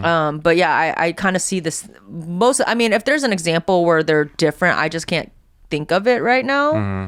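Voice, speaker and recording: A woman's fairly low voice at a moderate pace, with very wide pitch swings, on a very clean recording with a silent background. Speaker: comedian and writer. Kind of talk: podcast interview answer. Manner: calm, grounded.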